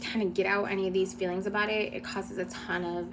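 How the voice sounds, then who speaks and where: There is audible room echo as a woman speaks at a very fast pace. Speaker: former nonprofit director sharing experiences. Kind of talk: personal testimony. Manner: hesitant with fillers.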